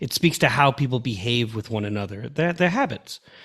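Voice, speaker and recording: A man speaks with a Long Island accent at a moderate pace. His intonation is lively, on a very clean recording with a silent background. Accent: Long Island, New York. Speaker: podcast host, former school superintendent. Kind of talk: interview question.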